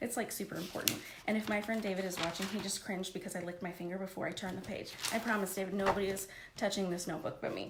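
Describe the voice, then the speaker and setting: An animated woman's voice at medium pitch and very fast pace, with audible room echo and noticeable background noise. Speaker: life coach. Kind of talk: live stream coaching talk.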